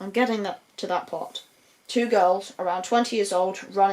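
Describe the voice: This clip is a plain reading aloud.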